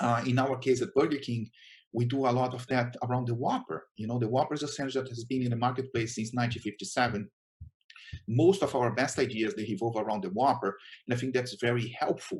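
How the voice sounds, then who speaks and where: With a Brazilian Portuguese accent, a man talks at a very fast pace. His voice is somewhat breathy. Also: medium pitch for a man, ordinary pitch variation. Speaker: chief marketing officer. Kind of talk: conference talk. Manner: hesitant, many fillers.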